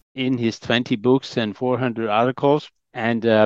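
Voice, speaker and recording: Medium in pitch and moderate in pace, a man speaks in a plain, everyday voice. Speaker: historian. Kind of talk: interview.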